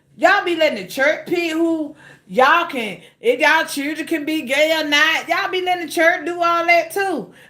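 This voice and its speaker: Raised and projected, a woman's animated voice at an extremely high pitch carries a bright, sharp tone, with ordinary pitch variation and a moderate pace. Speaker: cooking livestreamer. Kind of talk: casual livestream chat. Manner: loud.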